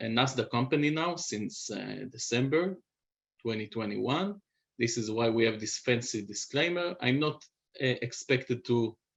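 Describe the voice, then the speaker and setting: Speaking with a non-native accent, a man keeps his voice at a medium pitch. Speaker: biotech company CEO. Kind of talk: presentation. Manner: halting, many fillers.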